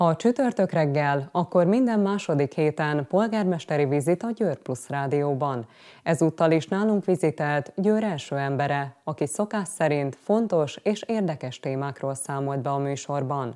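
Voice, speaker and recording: A woman with a very deep, low voice and a dark, mellow tone speaks at a fairly slow pace with lively intonation against a quiet background. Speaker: news anchor. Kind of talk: news reading. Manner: formal. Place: studio.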